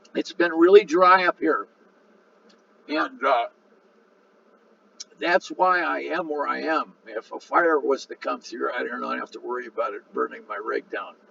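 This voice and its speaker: A man talks with long, frequent pauses. The sound is dry and close with no echo, and there is noticeable background noise. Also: fairly slow pace. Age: 70s. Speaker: full-time RV vlogger. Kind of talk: casual video narration over photos. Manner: halting, many fillers.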